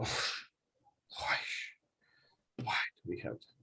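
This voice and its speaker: A quiet, raspy, put-on character voice. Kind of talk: quiet complaining tone. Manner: muttering, complaining quietly.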